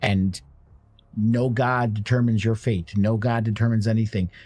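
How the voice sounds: With a slightly mellow tone and a slightly husky edge, a man speaks at a fairly slow pace.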